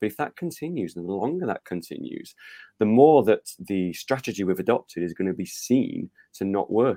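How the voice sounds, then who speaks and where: Lively intonation and a dark, mellow tone in a South Yorkshire accent, at a moderate pace, with a dry, close sound and no echo. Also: man. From northern England, Rotherham (South Yorkshire). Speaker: football author and fan. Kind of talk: interview. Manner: hesitant with fillers.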